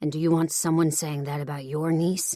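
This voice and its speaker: In a put-on character voice, the speaker sounds gruff at a middle pitch, moving at a fairly quick pace with monotone, flat intonation. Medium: read story. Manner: calm but clipped, gruff.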